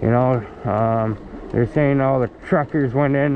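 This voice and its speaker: The sound is dry with no echo, with light background noise. A man speaks with ordinary pitch variation. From Canada. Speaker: vlogger; e-bike rider vlogger. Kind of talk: casual rant. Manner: halting. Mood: agitated political rant. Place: bicycle. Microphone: phone near.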